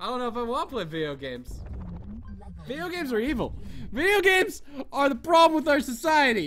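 The speaker talks very fast but leaves long, frequent pauses, over noticeable background noise. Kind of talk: mock-furious gaming rant, shouting over a frustrating game.

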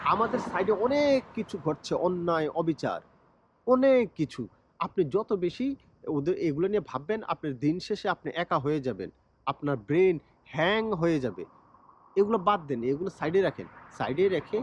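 A man in a Bangladeshi accent at a high pitch, with very wide pitch swings and a dry, close sound with no echo. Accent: Bangladeshi Bengali. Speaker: YouTuber, cricket commentator. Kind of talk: vlog monologue.

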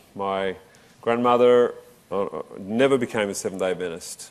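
This is a man talking at a moderate pace. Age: 40s. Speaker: preacher; religious lecturer. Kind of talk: sermon; sermon-style lecture. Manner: halting. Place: hall. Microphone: lapel.

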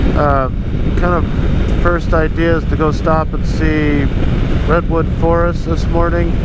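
The speech moves at a very slow pace. Loud background noise is present, and the sound is dry with no echo. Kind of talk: casual vlog chat. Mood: relaxed, upbeat. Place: motorbike. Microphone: helmet.

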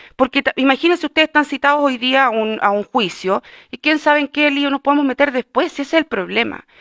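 A woman talks at a fairly quick pace in a high voice with ordinary pitch variation. The sound is dry with no echo, and the background is quiet. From Chile. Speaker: city councillor. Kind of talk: formal council meeting. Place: meeting room.

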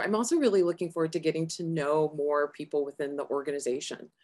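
Against a quiet background, a woman talks at a fairly quick pace. She has an American accent and a very deep, low pitch. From Arizona, US. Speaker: physician and health executive; interview guest. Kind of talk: interview. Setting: remote from Arizona. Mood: warm, engaged. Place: home room. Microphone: video call.

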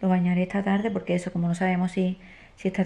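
Her intonation fairly even, a woman speaks at a fairly quick pace. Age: 20s. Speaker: family vlogger, stay-at-home mother; family vlogger. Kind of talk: casual vlog talk to camera. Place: home room. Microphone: phone near.

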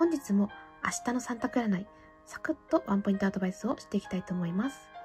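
A woman at a very fast pace, with very wide pitch swings, big swings in loudness and music in the background. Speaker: fortune teller; classical soprano singer. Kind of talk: tarot reading to camera.

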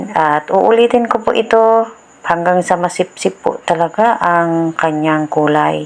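In a plain, everyday voice, a woman speaks fairly slowly at a fairly low pitch, with ordinary pitch variation and very even loudness. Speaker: home DIY tutorial creator. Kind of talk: tutorial. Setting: home, filmed by a cameraman. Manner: informal, polite and friendly.

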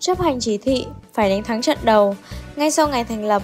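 Over music in the background, a high-pitched woman talks at a moderate pace with a Northern Vietnamese accent and ordinary pitch variation. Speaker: radio announcer. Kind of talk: school radio broadcast.

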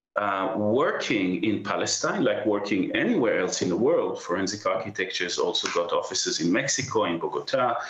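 With audible room echo, a man talks fairly quickly. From Israel (born in Haifa); Israel. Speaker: architect and professor. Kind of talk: news interview. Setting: remote link from London. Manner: hesitant, many fillers. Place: home room. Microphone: video call.

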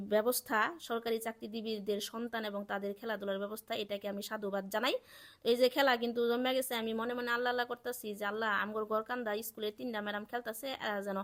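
A woman speaks at a fairly high pitch with a monotone, flat intonation. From Bangladesh, Sherpur district. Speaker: vlogger, government employee. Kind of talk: casual vlog narration. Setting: outdoors at school sports field.

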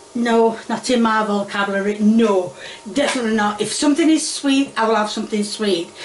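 Her fairly high-pitched voice moves at a fairly quick pace with ordinary pitch variation, with light background noise and audible room echo around the woman. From Yorkshire, northern England. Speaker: home cooking video host. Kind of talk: cooking tutorial. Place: kitchen. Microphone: phone near.

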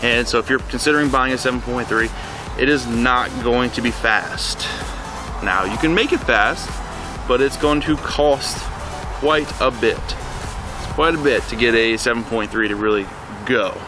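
A man at a fairly slow pace, dry sound with no echo, clear music in the background. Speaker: truck owner vlogger. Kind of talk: casual vlog chat. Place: street.

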